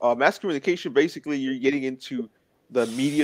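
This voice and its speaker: At a fairly quick pace, a man with an American accent uses a normal speaking voice, a fairly high pitch and fairly even intonation. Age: 20s. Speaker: interview guest with muscular dystrophy. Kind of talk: casual interview chat. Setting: live stream.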